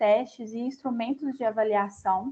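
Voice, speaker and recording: In a Minas Gerais accent, a woman speaks at a moderate pace with a fairly high, somewhat breathy voice. Her intonation stays fairly even. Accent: Minas Gerais Brazilian. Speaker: company representative speaking to students. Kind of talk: lecture.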